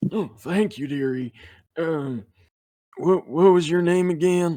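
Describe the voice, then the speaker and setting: A man's put-on character voice, high in pitch, at a fairly slow pace. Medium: actual play. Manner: doddering, kindly.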